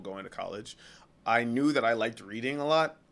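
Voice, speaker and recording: This man has an American accent and an ordinary speaking voice. He talks fairly quickly with ordinary pitch variation. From New York. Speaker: English teacher and TikTok creator. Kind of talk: casual chat.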